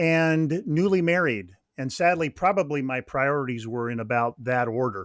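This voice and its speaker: This man has a plain, everyday voice and an American accent. His pitch varies an ordinary amount. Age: 60s. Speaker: author and ministry leader. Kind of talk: podcast interview.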